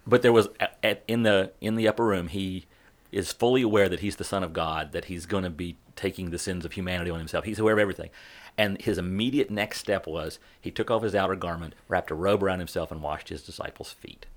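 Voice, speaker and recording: The delivery is very fast, with ordinary pitch variation, on a very clean recording over a silent background. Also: man, fairly low pitch for a man. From Central West Virginia. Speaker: pastor. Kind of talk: casual interview conversation.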